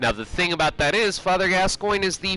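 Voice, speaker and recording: This is a man talking. Music plays in the background. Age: 30s. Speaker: gaming YouTuber. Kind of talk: casual gameplay commentary.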